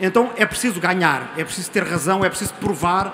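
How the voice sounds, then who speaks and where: A man with a European Portuguese accent speaks in a high voice over noticeable background noise. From Portugal. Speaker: audience member. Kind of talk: audience comment at panel debate. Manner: halting, repeats words.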